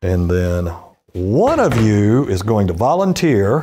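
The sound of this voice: The tone is dark and mellow. Intonation stays lively throughout. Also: man.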